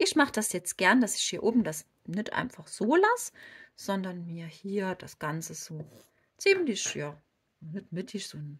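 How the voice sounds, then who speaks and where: A woman with a slight Saarland accent speaks at medium pitch and a fairly slow pace. Her somewhat breathy voice makes very wide pitch swings. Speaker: crochet tutorial creator. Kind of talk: tutorial. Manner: casual, chatty.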